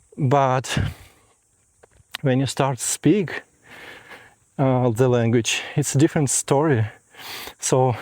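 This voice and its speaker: A man with a non-native accent speaks slowly-ish, at a fairly slow pace and fairly high pitch, recorded dry and close with no echo. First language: not English. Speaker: audio video engineer and vlogger. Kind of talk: walking vlog. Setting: outdoors, walking. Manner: hesitant with fillers.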